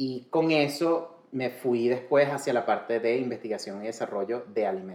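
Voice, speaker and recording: A man speaks at a moderate pace with hardly any pauses, his medium pitch showing ordinary variation. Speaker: culinary and medical cannabis specialist. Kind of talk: casual interview chat. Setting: in person, sitting together. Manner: Spanish with frequent switches into English.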